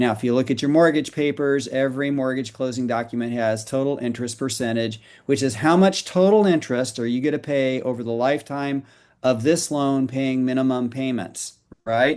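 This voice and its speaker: A man with a plain, everyday voice talks fairly quickly at a medium pitch with ordinary pitch variation against a quiet background. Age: 60s. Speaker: financial educator promoting a mortgage reduction program. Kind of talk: podcast roundtable interview.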